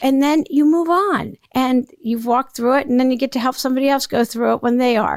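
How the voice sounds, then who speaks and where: Hardly pausing, a woman talks at a high pitch with ordinary pitch variation and very even loudness. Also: fairly quick pace. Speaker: podcast host. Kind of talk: solo monologue.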